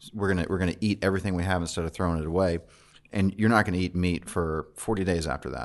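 A man with a very deep, low pitch and a Louisiana accent, talking at a very fast pace with ordinary pitch variation against a quiet background. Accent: Louisiana Southern. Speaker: chef and restaurant owner. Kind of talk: casual chat. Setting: studio.

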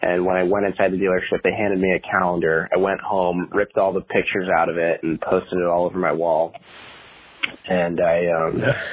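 With noticeable background noise behind him, a man talks at a fairly quick pace in a very deep, low, monotone voice whose loudness stays very even. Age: 20s. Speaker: automotive filmmaker and YouTuber. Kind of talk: casual interview chat.

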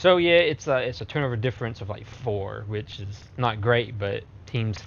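An ordinary speaking voice at a medium pitch belongs to this man. His intonation is lively and his pace moderate. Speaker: podcast co-host. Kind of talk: casual chat.

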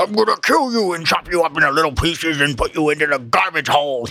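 A man's put-on character voice, fairly high-pitched and menacing, at a very fast pace. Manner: menacing, put-on.

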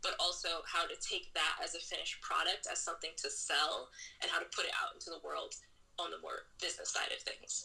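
A fast-ish woman's voice with an American accent, with music in the background. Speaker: novelist. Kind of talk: interview. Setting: remote call.

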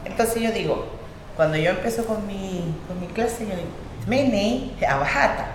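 At a fairly slow pace, the speaker's voice makes very wide pitch swings, with noticeable background noise and audible room echo. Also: woman, medium pitch for a woman. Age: 40s. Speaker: language teacher, academy director. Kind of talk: interview testimony.

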